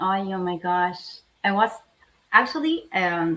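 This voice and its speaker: In an Argentine accent, a woman talks with a bright, sharp tone. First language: Spanish. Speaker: lawyer. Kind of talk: interview. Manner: halting.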